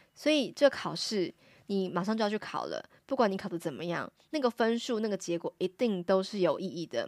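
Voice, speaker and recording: Woman at medium pitch, lively intonation and fairly quick pace, dry close sound with no echo, very clean recording against a silent background. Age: 40s. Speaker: Japanese teacher and podcast host. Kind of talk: solo podcast lecture.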